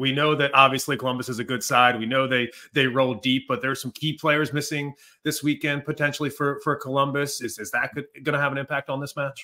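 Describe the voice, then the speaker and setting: A man with a fairly high pitch talks at a fairly quick pace against a quiet background. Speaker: soccer podcast host. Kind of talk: casual sports podcast chat. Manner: upbeat. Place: home room.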